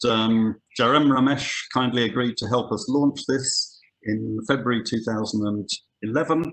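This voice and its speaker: With a British accent, a man speaks at a very slow pace and with fairly even intonation. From UK. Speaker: conservation scientist. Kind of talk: webinar lecture. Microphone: webcam.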